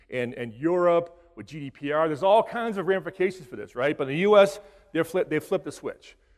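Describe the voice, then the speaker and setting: A man with an American accent races along at a very fast pace, his pitch varying in an ordinary way. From Boston, US Northeast. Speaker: cybersecurity instructor. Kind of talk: conference talk.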